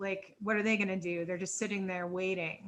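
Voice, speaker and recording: Her medium-pitched voice has a bright, sharp tone, and this woman delivers everything in a monotone, flat intonation. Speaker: webinar presenter. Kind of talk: webinar panel discussion. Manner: halting, with stutters; casual, filler-heavy.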